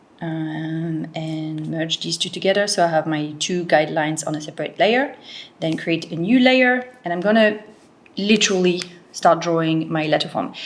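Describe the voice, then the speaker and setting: A woman speaks with a fairly low pitch and ordinary pitch variation. Noticeable background noise runs under her voice. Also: moderate pace. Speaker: lettering artist and tutorial creator. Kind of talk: tutorial. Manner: casual, with many fillers.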